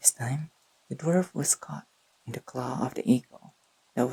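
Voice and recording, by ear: The clip is read aloud in a natural voice.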